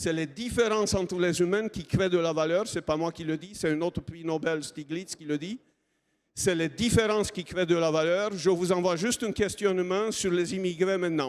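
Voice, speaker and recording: A man's high voice at a fairly slow pace with a non-native accent. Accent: foreign accent in French. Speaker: innovation program manager, engineer. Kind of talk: conference talk.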